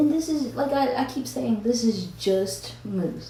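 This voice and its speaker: A woman speaks with a slight Southern US accent. There is audible room echo along with noticeable background noise. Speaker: mom vlogger. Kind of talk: casual get-ready-with-me vlog. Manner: casual, chatty with fillers.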